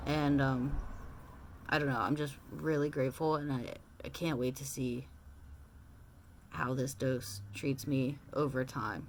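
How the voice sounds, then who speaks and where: With long, frequent pauses, a woman speaks at a fairly slow pace in a very deep, low pitch, with ordinary pitch variation. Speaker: transition vlogger. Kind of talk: casual personal vlog. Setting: at home in small apartment. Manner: hesitant, many filler words.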